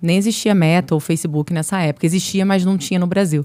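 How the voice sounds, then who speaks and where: The pace is fairly quick. A dark, mellow tone colors the voice. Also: woman. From Brazil, Niterói (Rio de Janeiro state). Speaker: marketing executive. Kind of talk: podcast interview.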